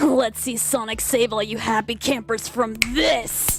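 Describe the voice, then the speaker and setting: A put-on character voice speaks at a fairly slow pace. Clear music plays in the background. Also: female-sounding voice, fairly high pitch for a woman. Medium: dub. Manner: cocky, aggressive.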